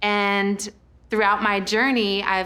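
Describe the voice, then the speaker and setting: A woman with an American accent at a medium pitch and fairly slow pace, music in the background. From Colorado, Fort Collins. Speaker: spoken word poet. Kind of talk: spoken word poetry; casual talk.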